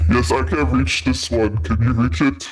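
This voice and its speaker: A man uses a put-on character voice with a very deep, low pitch. He talks at a moderate pace. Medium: actual play. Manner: broken, simple speech.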